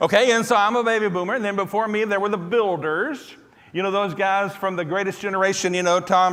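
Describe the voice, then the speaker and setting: Amid noticeable background noise and audible room echo, the speaker goes at a very fast pace. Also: man. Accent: Southern US. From US South, Tennessee. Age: 60s. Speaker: preacher. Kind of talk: sermon. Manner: animated.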